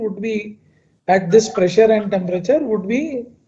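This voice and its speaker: Delivered at a moderate pace, the voice has a dark, mellow tone and ordinary pitch variation, with audible room echo. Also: man. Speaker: chemical engineer. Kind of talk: lecture. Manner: loud; halting.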